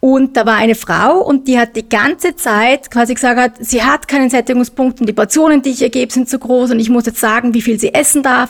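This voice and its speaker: Her pitch is high for a woman, and she talks at a fairly quick pace with hardly any pauses. Her intonation stays fairly even and her loudness very even. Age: middle-aged. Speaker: nutrition expert. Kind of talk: casual chat.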